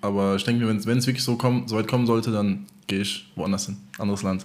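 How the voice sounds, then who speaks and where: A man at a very fast pace, his intonation fairly even. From Germany, Offenbach area (Hesse). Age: 20s. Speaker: DJ. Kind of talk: casual chat.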